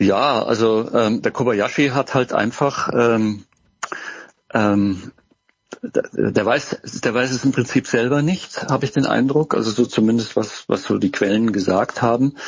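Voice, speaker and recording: A man speaks at a fairly slow pace, his medium pitch rising and falling in an ordinary way. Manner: halting.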